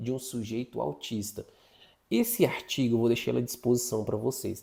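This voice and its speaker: This man speaks at a medium pitch. His tone is dark and mellow. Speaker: psychologist teaching an online course. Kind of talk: lecture. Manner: fast.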